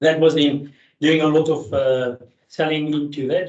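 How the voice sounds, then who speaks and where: In a South African accent, a man talks with monotone, flat intonation. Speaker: grease industry engineer. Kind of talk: technical presentation. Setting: meeting hall, hybrid. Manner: fast; hesitant with fillers.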